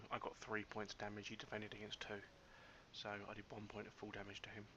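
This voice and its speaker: At a very fast pace, a man with a British accent talks in a fairly low pitch with monotone, flat intonation. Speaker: let's play gamer. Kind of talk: let's play commentary.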